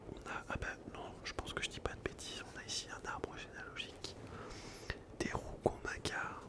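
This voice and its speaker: A man whispers in a relaxed tone. There is noticeable background noise. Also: moderate pace. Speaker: ASMR creator. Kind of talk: casual ASMR talk to camera. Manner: soft-spoken, relaxed.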